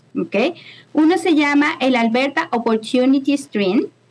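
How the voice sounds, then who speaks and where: At a fairly slow pace, a woman speaks in a high pitch with a Maracaibo accent. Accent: Venezuelan Maracucho Spanish. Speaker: immigration consultant. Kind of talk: casual interview. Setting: video call. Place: home room. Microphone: video call.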